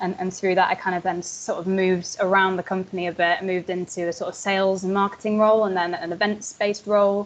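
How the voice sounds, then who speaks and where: A woman talks very fast with hardly any pauses, using monotone, flat intonation at a medium pitch. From northern England, Yorkshire. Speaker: wine educator. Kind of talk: interview. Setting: video call. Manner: hesitant, many fillers.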